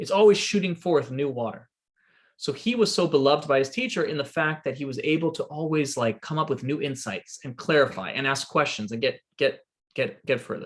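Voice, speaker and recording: A somewhat breathy, fairly high-pitched man's voice with lively intonation at a fairly quick pace. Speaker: rabbi. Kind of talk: lecture. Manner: fast.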